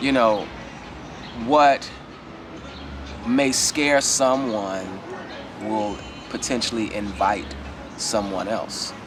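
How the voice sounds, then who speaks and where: A man with a fairly low pitch speaks at a very slow pace in a relaxed tone, with ordinary pitch variation. Long, frequent pauses break his speech over noticeable background noise. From Chicago. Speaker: retired school teacher. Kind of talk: interview answer. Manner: relaxed, casual.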